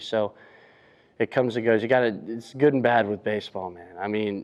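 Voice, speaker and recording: A man's fairly low-pitched voice at a moderate pace. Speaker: college baseball pitcher. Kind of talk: post-game press conference. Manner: halting.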